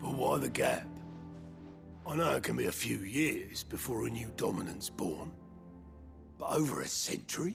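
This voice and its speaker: A man does a raspy, put-on character voice at a moderate pace. Clear music plays in the background. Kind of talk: video game cutscene acting. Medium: short film. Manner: casual, informal.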